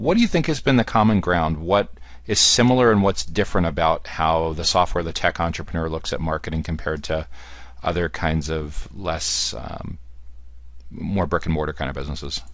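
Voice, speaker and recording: A man's very deep, low voice with vocal fry and lively intonation, in an American accent, at a fairly quick pace. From US Northeast, Central New Jersey. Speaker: podcast host, marketing executive. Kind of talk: interview podcast.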